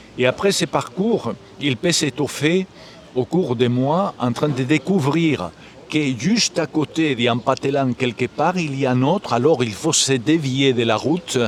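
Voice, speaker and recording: With a Galician accent, a man talks at a fairly slow pace in a fairly high pitch with ordinary pitch variation, over noticeable background noise. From Galicia, Spain. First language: Galician (speaking French). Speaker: musician and composer. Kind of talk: interview. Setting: live at a festival.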